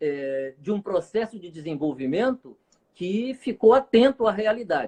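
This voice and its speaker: At a fairly slow pace, a man with a high pitch swings very widely in pitch, his voice dry and close with no echo. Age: 60s. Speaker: clinical psychologist. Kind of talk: casual chat.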